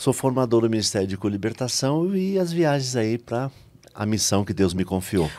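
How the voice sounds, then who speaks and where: With a Bahian accent, a man of medium pitch and dark, mellow tone moves at a moderate pace through very wide pitch swings. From Brazil, Salvador, Bahia. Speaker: lay missionary and preacher. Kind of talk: testimony.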